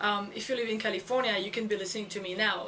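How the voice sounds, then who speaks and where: A woman with a French accent, fairly high-pitched and fairly quick, flat and monotone, over noticeable background noise. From France. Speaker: education blogger. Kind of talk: video blog monologue. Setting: recorded on camera. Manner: halting, many fillers.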